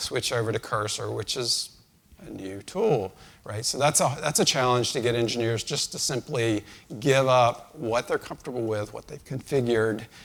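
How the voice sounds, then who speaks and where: A man talks in a plain, everyday voice at medium pitch. He keeps a moderate pace and ordinary pitch variation. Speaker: conference speaker, engineering leader. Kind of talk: conference talk.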